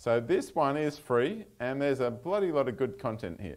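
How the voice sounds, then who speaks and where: With an Australian accent, a man talks at a moderate pace. His pitch swings very widely. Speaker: software consultant giving a talk; presenter. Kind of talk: technical talk with live demo. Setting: meetup venue with live audience. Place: meeting room.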